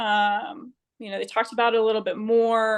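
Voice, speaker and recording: A woman with a Southern US accent, fairly high pitch and a fairly quick pace over a quiet background. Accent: Southern twang. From US South, Georgia (Marietta, near Atlanta). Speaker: Marine Corps officer. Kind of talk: interview. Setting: remote call from home.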